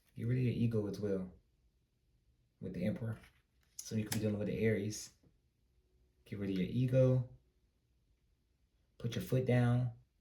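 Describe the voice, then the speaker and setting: A man with an American accent talks at a fairly quick pace in a medium-pitched, dark, mellow, somewhat breathy voice with fairly even intonation. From US South, Greenville, North Carolina. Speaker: tarot reader. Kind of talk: tarot reading. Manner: casual, conversational.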